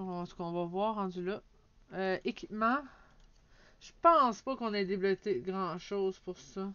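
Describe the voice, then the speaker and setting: A woman with a Quebec accent, moderate in pace and ordinary in pitch variation. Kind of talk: casual let's play commentary.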